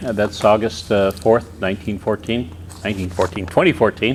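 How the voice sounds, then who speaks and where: A man speaks at a moderate pace and a fairly low pitch. Noticeable background noise can be heard. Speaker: pilot association past president. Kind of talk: interviewer.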